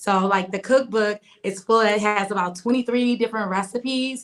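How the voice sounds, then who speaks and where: A woman with an American accent speaks in an ordinary speaking voice at medium pitch with fairly even intonation. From US Midwest, Milwaukee, Wisconsin. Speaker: vegan chef. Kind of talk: interview.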